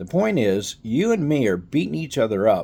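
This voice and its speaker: With a Texan accent, a man talks at a moderate pace in a dark, mellow tone, his intonation lively. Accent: Texan American. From Texas. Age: old. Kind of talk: casual political talk to camera.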